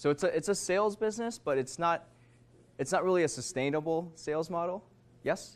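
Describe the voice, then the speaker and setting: A man is speaking at a fairly quick pace. His intonation is lively. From Minnesota and Korea. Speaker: author and entrepreneur giving a talk. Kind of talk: motivational talk to students. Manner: casual, filler-heavy.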